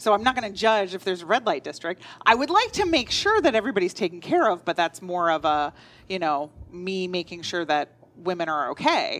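A woman speaks at a medium pitch with lively intonation. Hers is a normal speaking voice. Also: fairly quick pace. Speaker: podcast co-host. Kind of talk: casual chat. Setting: cat cafe.

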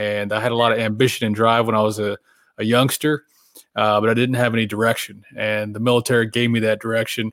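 A man's medium-pitched voice with an American accent, very fast and in a monotone, flat intonation. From Oklahoma, small town. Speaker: military veteran and author. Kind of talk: casual interview. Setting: video call.

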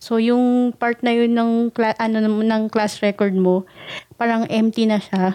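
A woman's fairly high voice, dark and mellow in tone, with monotone, flat intonation at a fairly slow pace. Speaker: podcast co-host. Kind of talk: casual chat.

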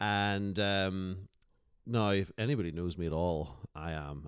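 In a Northern Irish accent, a man with a very deep, low pitch speaks at a fairly slow pace, the sound dry and close with no echo. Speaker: podcast guest. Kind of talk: casual chat.

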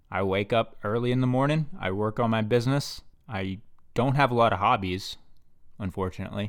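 A man talks at a fairly quick pace and medium pitch with ordinary pitch variation in an ordinary speaking voice, recorded very cleanly against a silent background. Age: 20s. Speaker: podcast host and startup founder. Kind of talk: solo monologue podcast.

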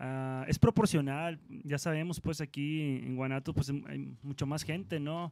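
This man has a plain, everyday voice, pitched fairly high. He speaks at a fairly slow pace with fairly even intonation. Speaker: rock musician. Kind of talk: casual chat.

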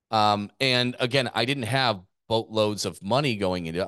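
Over a quiet background, a man with a plain, everyday voice speaks at a fairly low pitch and moderate pace with lively intonation, the sound dry and close with no echo. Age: 40s. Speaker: gym owner and business coach podcast host. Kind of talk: business podcast presentation.

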